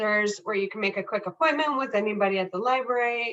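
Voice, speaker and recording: Fairly high-pitched and bright, sharp in tone, a woman speaks at a fairly quick pace with ordinary pitch variation. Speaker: librarian. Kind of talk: library instruction workshop.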